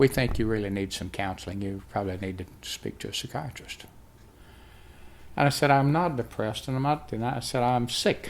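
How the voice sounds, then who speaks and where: Speaking fairly quickly with a Southern US accent, a man uses lively intonation at a medium pitch. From US South. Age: 70s. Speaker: health testimony vlogger. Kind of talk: testimony.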